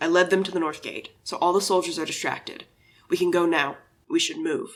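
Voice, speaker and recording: A man uses a put-on character voice, raspy and high in pitch. He delivers it in a monotone, flat intonation at a fairly quick pace. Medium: audio drama. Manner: calm, clipped, grave.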